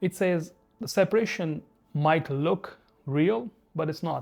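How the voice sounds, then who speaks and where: A man speaks with music in the background. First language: Hindi. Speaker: spiritual video essayist. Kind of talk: reflective monologue.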